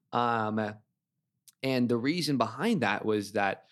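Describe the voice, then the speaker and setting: A man of medium pitch, fairly slow, in a very clean recording with a silent background. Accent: American. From northern California. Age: 20s. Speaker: university student. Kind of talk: interview conversation.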